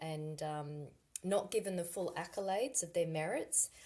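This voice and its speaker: Delivered at a moderate pace with an Australian accent, the voice keeps a fairly even intonation. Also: woman. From Australia, Sydney. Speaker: climate consultant. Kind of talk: school guest talk.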